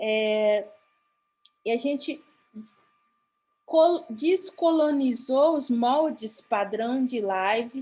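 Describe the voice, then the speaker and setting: A woman's fairly high voice, with ordinary pitch variation, comes across on a very clean recording with a silent background. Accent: Paraguayan. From Mato Grosso do Sul, Brazil (Guarani Kaiowá). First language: Guarani (speaking Portuguese). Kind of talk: conference talk. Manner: halting, with false starts.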